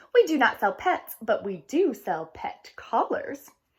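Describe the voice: A woman uses a put-on character voice, fairly high in pitch with big pitch swings. She goes at a fairly slow pace with a slightly husky edge.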